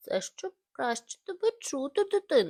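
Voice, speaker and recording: A female-sounding, put-on character voice with an extremely high pitch moves at a moderate pace. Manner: feigning a gentle voice.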